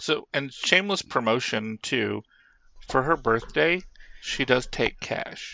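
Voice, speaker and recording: A man's medium-pitched voice with vocal fry and lively intonation, at a very slow pace. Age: 50s. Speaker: podcast co-host. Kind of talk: casual chat.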